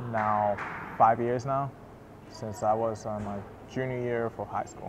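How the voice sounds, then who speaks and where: Over noticeable background noise, a man talks at a moderate pace in a medium pitch with monotone, flat intonation. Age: 20s. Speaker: college student. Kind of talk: interview testimony. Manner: halting.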